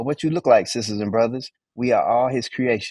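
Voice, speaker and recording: A man speaks with an American accent. The background is quiet, and the sound is dry with no echo. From US Southwest, Phoenix. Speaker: Bible study teacher. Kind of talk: Bible study teaching. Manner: animated. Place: home room. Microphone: video call.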